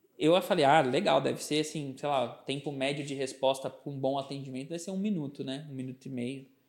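In a normal speaking voice, a man with a fairly high pitch talks at a fairly quick pace with fairly even intonation. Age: 30s. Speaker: advertising and branding agency founder. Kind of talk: podcast interview.

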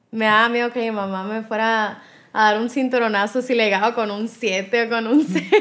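A woman with a normal speaking voice talks at a moderate pace, her fairly high pitch carried on fairly even intonation. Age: 20s. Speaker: radio host. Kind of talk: interview.

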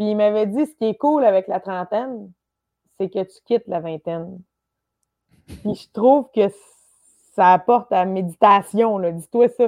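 A woman at a medium pitch and fairly slow pace, with long, frequent pauses, big swings in loudness, ordinary pitch variation and a dry, close sound with no echo. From Quebec, Lanaudière countryside. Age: 30s. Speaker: comedian. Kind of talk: casual chat.

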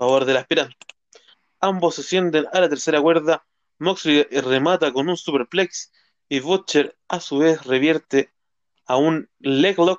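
A man with a normal speaking voice talks at a fairly slow pace in a fairly high pitch with fairly even intonation, the sound dry and close with no echo. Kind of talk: wrestling results recap read aloud, blow-by-blow match summary. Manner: brisk, even, rattling off moves and match outcomes, some stumbles and repeats.

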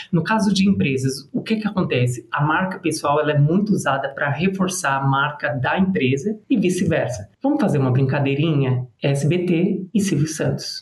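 Speaking at a moderate pace with hardly any pauses, a man with an ordinary speaking voice uses lively intonation at a fairly high pitch for a man. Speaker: public relations and personal brand strategist. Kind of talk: casual interview chat.

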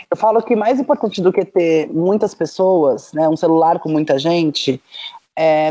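Lively intonation marks an ordinary speaking voice delivered at a moderate pace. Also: woman. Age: 40s. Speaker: startup founder. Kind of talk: casual chat.

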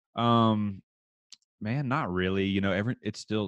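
A man speaks with a slight Texas accent, recorded dry and close with no echo. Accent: slight Texas twang. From rural Texas. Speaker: country musician and oil field worker. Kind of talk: casual chat.

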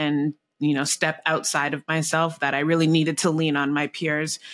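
In a very clean recording with a silent background, a man with a Canadian accent speaks at a fairly high pitch with a bright, sharp tone and fairly even intonation, the sound dry and close with no echo. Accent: Canadian, noticeable on some words. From Canada. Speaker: marketing agency team member. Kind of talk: casual panel discussion.

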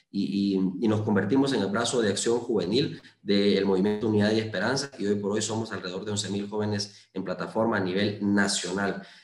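A man at a fairly quick pace with fairly even intonation, in audible room echo. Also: fairly low pitch for a man. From Honduras, Lempira (Valladolid). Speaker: lawyer and parliamentary candidate. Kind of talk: interview. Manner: hesitant, many fillers.

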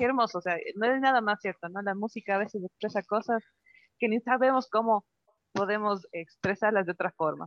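A woman talks in an ordinary speaking voice at a fairly quick pace. Her pitch is medium, with ordinary pitch variation. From Ecuador. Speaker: radio co-host. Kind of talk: casual chat.

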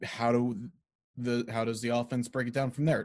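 Recorded very cleanly with a silent background, a man talks at a moderate pace and medium pitch in an ordinary speaking voice. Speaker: sports broadcasting podcast host. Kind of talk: casual podcast conversation.

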